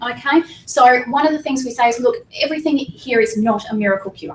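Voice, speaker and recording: Animated and high-pitched, a woman talks with an Australian accent. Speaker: weight loss clinic staff presenter. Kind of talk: information seminar presentation. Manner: fast.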